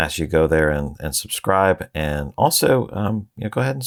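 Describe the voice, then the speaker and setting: Captured with a dry, close sound with no echo, a man in an American accent speaks at a very deep, low pitch with vocal fry. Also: very clean recording, silent background. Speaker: treasury podcast host. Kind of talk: interview podcast. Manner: hesitant, many fillers.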